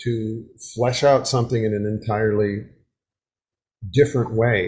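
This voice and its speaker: Speaking with an American accent, a man talks at a fairly slow pace in a somewhat breathy voice. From US Midwest (Wisconsin). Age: 70s. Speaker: folk singer. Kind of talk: casual interview. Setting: home video call.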